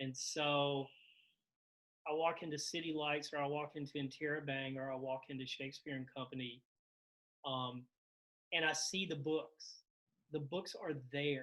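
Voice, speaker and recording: With a Carolina accent and a bright, sharp tone, a fairly high-pitched man speaks at a fairly slow pace with fairly even intonation and long, frequent pauses. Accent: lilting Carolina. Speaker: novelist. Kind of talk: casual conversation.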